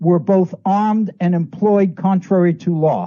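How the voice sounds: Speaking at a slow pace, a man has a high pitch and a dark, mellow tone.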